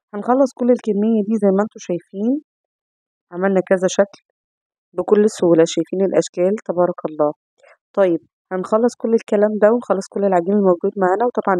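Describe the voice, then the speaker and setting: In an Egyptian accent, a woman speaks at a moderate pace and medium pitch with ordinary pitch variation and a dark, mellow tone, the sound dry and close with no echo. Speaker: cooking channel host. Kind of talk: cooking tutorial.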